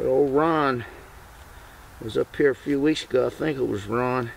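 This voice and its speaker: Light background noise sits behind a man's voice. He speaks at a fairly slow pace with ordinary pitch variation. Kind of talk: casual outdoor commentary while working. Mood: relaxed, chuckling. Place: forest.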